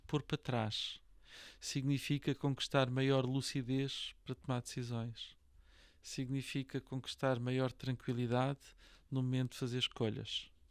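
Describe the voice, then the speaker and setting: The recording is very clean, with a silent background. Speech moves at a fairly slow pace. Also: man. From Portugal, Lisbon. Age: 60s. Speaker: real estate association president and broker. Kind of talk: podcast interview. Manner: hesitant, many fillers and repetitions.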